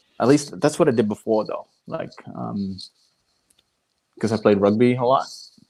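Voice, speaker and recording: Moving at a moderate pace with long, frequent pauses, a man speaks at medium pitch with ordinary pitch variation. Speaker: podcast host. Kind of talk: casual chat. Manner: well spoken; hesitant, many ums and restarts.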